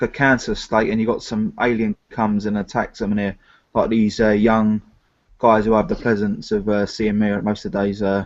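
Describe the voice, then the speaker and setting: A man with a London accent speaks at a moderate pace in a flat monotone, his pitch fairly low, against a quiet background. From South London. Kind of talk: casual chat.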